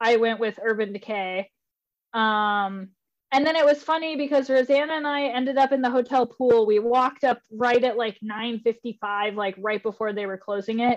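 With an American accent, a woman speaks in an unremarkable speaking voice at a moderate pace. Her pitch is fairly high, with ordinary variation. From northern Idaho. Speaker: moped rider. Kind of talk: casual chat. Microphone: connection glitchy.

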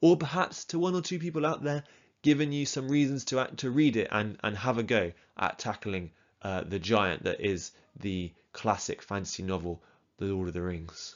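A man talks in an English accent at a moderate pace. His pitch is medium, with very wide swings. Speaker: podcast host, book reviewer. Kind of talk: solo book review monologue.

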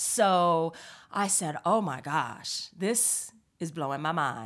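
A woman with an American accent, fairly low in pitch, with ordinary pitch variation on a very clean recording with a silent background. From Northern California. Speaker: comedic performer. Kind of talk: casual chat. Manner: animated.

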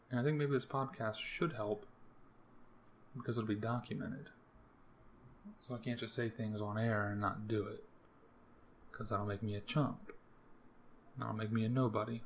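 Breathing somewhat audibly, a man with an American accent speaks at a moderate pace and medium pitch, with fairly even intonation and long, frequent pauses. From US, Maryland. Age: 20s. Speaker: podcaster. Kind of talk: casual monologue. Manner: casual, rambling delivery.

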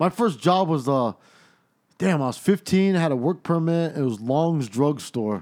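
An ordinary speaking voice from a man, fairly high in pitch with lively intonation. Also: fairly slow pace. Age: 40s. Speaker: podcast co-host, former jail officer. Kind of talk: casual chat.

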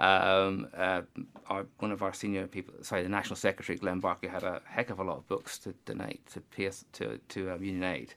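A man with a very deep, low pitch, vocal fry and a bright, sharp tone speaks at a fairly quick pace with fairly even intonation in a very clean recording with a silent background. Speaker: trade union staffer organising a charity book sale. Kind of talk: casual radio interview. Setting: radio studio. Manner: hesitant, many fillers and repeats.

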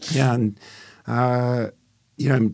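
With a General American accent, a man talks at a moderate pace on a very clean recording with a silent background. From US Midwest, suburbs of Cleveland, Ohio. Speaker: entertainment lawyer. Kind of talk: interview.

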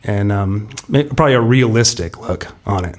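In an American accent, a man with a fairly low pitch talks at a moderate pace with ordinary pitch variation in an ordinary speaking voice. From US West Coast, San Diego. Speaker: football fan, season ticket holder. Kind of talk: casual chat.

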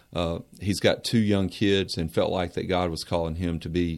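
In a Southern US accent, this speaker talks at a moderate pace with monotone, flat intonation, and the recording is very clean with a silent background. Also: man. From Mount Airy, North Carolina. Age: 40s. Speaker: university administrator. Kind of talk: radio interview.

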